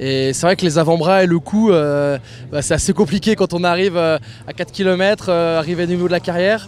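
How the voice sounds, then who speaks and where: Over music in the background, a man speaks with a fairly high pitch. His pace is fairly quick and his pitch variation ordinary. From eastern France, Ain. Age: 20s. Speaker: racing driver. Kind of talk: interview. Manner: hesitant, many fillers.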